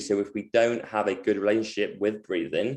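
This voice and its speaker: Speech in a London accent comes at a fairly quick pace. The background is quiet. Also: man. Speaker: movement coach. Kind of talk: online presentation. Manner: fast; halting, many fillers.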